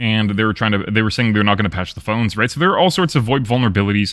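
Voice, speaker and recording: The voice has an animated tone. The recording is very clean, with a silent background. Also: man. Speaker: live streamer. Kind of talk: casual chat. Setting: live stream.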